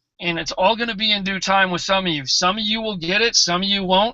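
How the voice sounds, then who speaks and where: A man's raised, projected voice at a moderate pace. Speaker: network marketing team leader. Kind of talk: motivational talk. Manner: animated.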